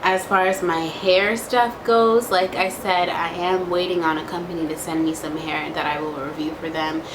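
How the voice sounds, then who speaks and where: Over noticeable background noise and audible room echo, a woman speaks at a fairly low pitch with fairly even intonation. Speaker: vlogger and home daycare owner. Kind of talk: casual vlog Q&A. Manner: slow, rambling.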